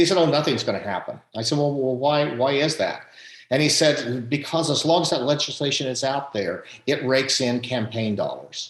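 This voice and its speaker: Using an ordinary speaking voice, this man keeps a moderate pace and ordinary pitch variation. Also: fairly high pitch for a man. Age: 60s. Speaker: economist and academic. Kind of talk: panel discussion.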